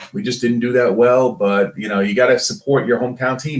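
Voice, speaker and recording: A man speaks in a strong Brooklyn accent. His pace is moderate and his pitch is medium. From Brooklyn, New York. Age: 50. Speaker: former pro athlete. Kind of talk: podcast interview.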